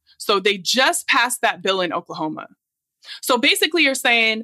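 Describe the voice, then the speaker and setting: A woman speaks at a moderate pace in a fairly high, bright, sharp voice. Her pitch swings very widely, and the sound is dry and close with no echo. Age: 40s. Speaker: podcast co-host. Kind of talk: casual chat.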